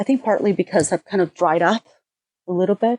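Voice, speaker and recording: A woman with a Venezuelan accent, dark and mellow in tone, with ordinary pitch variation and a dry, close sound with no echo. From Venezuela (Caracas). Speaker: artist and art teacher. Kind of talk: interview.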